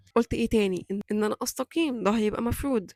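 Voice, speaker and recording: Fairly high in pitch, a woman speaks at a fairly quick pace with fairly even intonation, the sound dry and close with no echo. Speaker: YouTuber. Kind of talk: motivational vlog talk. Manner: loud voice by nature, trying to control.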